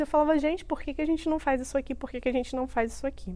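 A woman speaks in a Rio de Janeiro accent, her voice high-pitched with ordinary pitch variation. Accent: Carioca Brazilian Portuguese. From Rio de Janeiro, Brazil (Duque de Caxias). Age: 30s. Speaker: entrepreneur and author. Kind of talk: interview testimony.

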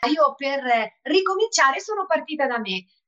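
A woman speaks with a bright, sharp tone. Her intonation is lively and her pace moderate. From Perugia, Italy (years in Sardinia). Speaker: online fitness trainer and entrepreneur. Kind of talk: interview conversation.

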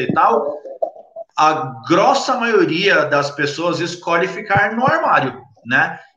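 Noticeable background noise and audible room echo accompany speech delivered at a very slow pace. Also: man. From São Paulo, Brazil (Capão Redondo). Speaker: cannabis content creator. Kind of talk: casual interview.

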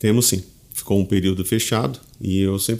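With a plain, everyday voice, a man talks at a fairly quick pace and fairly even intonation. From southern Brazil (Tubarão, Santa Catarina). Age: 40s. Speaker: head of municipal culture foundation. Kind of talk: interview.

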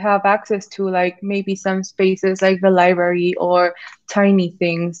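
A fairly slow-paced woman's voice in a Spanish accent. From Mexico. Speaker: heritage conservator, master's student. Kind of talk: casual chat.

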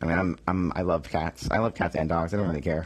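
The speaker talks at a very fast pace in an American accent. The pitch shows ordinary variation. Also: man. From Boston area, Massachusetts. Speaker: podcast host. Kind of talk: solo casual monologue. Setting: home, his room.

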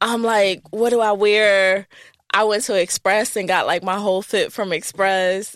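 Speaking at a fairly slow pace, a woman with a Northeastern US accent holds a medium pitch in a monotone, flat intonation and very even loudness. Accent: American, Northeast. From US Northeast. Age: 30s. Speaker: travel consultant and content creator. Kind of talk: casual interview. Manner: many filler words.

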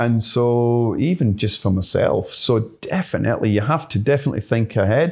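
A man's somewhat breathy, medium-pitched voice at a moderate pace, lively in intonation, on a very clean recording with a silent background. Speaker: pest control business owner. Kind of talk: casual interview chat.

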